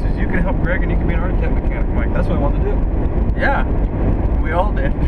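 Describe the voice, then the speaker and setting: Loud background noise fills the clip. The sound itself is dry, with no echo. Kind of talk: casual storytelling chat. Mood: joking, loose, swearing. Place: car. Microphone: camera far.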